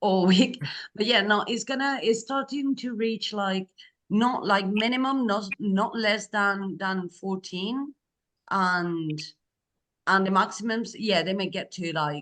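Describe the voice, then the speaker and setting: A woman with a Spanish accent, medium in pitch, with ordinary pitch variation and a very slow pace. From Spain. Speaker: program coordinator. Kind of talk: online group briefing. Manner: casual, many fillers.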